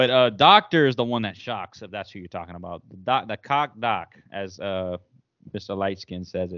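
A man talks in an ordinary speaking voice with a fairly low pitch. His pace is moderate and his pitch variation ordinary. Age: 20s. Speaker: Twitch streamer and content creator. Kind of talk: casual chat.

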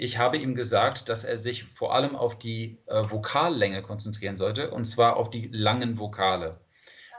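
Background noise is noticeable here. The speech moves at a moderate speed. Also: man. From California, San Diego. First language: English (speaking German). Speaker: language teacher and polyglot coach. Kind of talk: interview.

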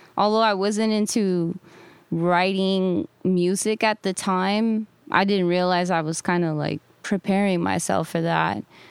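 A woman with an American accent and an ordinary speaking voice talks at a fairly slow pace, medium in pitch and with fairly even intonation. The sound is dry and close with no echo. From Baldwin Park, Southern California. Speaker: rapper. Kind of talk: interview.

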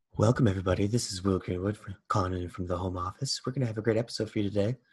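A man's put-on character voice, raspy and fairly low, at a very fast pace. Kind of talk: friendly podcast host greeting.

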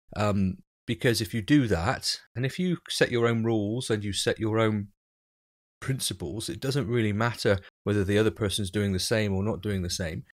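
A man with a plain, everyday voice talks at a moderate pace, fairly low in pitch with ordinary pitch variation. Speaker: podcast co-host, software developer. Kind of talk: casual chat, technical discussion. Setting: remote recording, early morning.

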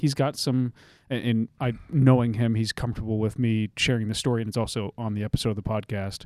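A man talks at a fairly quick pace in an ordinary speaking voice, his pitch medium. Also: fairly even intonation, dry, close sound with no echo. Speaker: podcast host and veteran. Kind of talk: interview.

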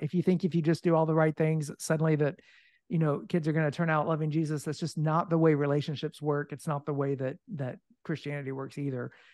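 A man with an unremarkable speaking voice and an American accent talks at a fairly quick pace in a fairly high pitch. The sound is dry and close with no echo, over a quiet background. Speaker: author and ministry leader. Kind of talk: casual interview.

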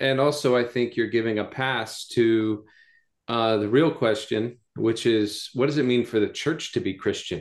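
A man with an American accent and an unremarkable speaking voice talks at a fairly slow pace, with very even loudness and fairly even intonation. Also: medium pitch for a man, quiet background. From US South (North Carolina). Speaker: pastor. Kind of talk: casual chat.

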